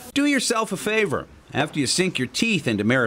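With music in the background, a man talks at a moderate pace, his pitch swinging very widely. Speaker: TV news reporter. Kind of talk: TV news feature narration.

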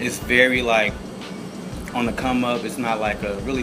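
A man speaks at an even, moderate speed while music runs underneath. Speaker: food show host. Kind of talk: food review chat. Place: cafe.

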